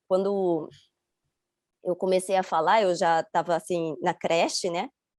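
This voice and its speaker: Her speech comes at a fairly slow pace. The woman's intonation is fairly even. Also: medium pitch for a woman, dry, close sound with no echo. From Rio de Janeiro, Brazil until 11, then Chiba, Japan. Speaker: interview guest. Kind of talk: interview. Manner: halting.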